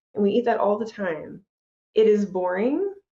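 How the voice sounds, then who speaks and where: Speaking in an American accent, a woman uses a medium pitch, a dark, mellow tone, a moderate pace and ordinary pitch variation. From US South. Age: 40s. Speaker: nutrition coach and endurance athlete. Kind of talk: interview.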